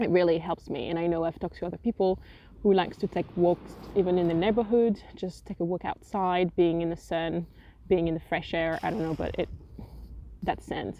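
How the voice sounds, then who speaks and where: Speaking fairly quickly in a French accent, the woman has a fairly low pitch. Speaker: writer and vlogger. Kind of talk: casual vlog talk. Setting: outdoors on a windy beach. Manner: casual, with hesitations.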